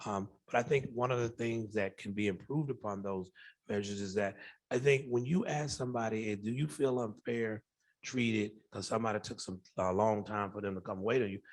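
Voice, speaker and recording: A man with an American accent speaks at a fairly quick pace in a normal speaking voice, his fairly low pitch showing ordinary pitch variation, on a very clean recording with a silent background. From US South, Macon Georgia. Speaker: professor and researcher. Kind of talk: Q&A after a conference talk.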